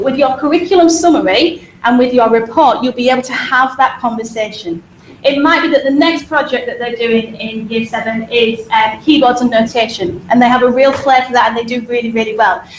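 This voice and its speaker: Over noticeable background noise, a woman with a Hull accent talks at a fairly quick pace in a high voice with ordinary pitch variation. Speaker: school teacher presenting to parents. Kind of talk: presentation to parents. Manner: fast.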